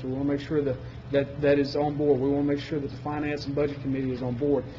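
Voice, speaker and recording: A man speaks with a fairly high pitch, and audible room echo surrounds his voice. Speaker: energy services sales presenter. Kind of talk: presentation to county commission. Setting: public meeting. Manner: fast.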